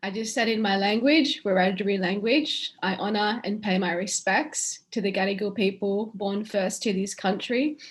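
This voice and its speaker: A woman with an Australian accent speaks at a moderate pace, somewhat breathy, at a medium pitch with ordinary pitch variation and hardly any pauses. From western New South Wales, Australia. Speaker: keynote speaker, lawyer. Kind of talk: keynote speech. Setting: online webinar.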